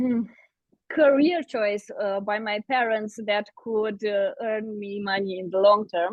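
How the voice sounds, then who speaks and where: Very slow speech from a woman with a non-native accent, fairly high pitch and ordinary pitch variation. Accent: foreign accent in English. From Eastern Europe. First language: Eastern European language. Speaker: fantasy author. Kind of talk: podcast interview.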